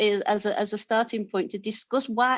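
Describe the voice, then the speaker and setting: A woman is speaking. Her pace is fairly quick. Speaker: academic discussant. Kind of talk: panel discussion. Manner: halting, many repetitions.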